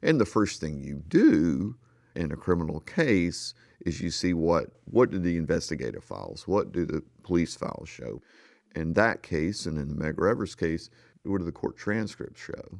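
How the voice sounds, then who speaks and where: A man's very deep, low voice with vocal fry and a Southern US accent, ordinary pitch variation, moderate pace, very clean recording and silent background. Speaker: investigative journalist and author. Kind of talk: radio interview about his book.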